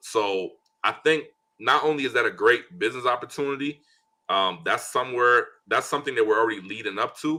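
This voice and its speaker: A man speaks at a fairly quick pace in an animated, bright, sharp tone. The recording is very clean, with a silent background. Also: medium pitch for a man, ordinary pitch variation. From Liberia, moved to US at nine. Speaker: business owner and investor. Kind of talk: interview. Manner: casual, animated.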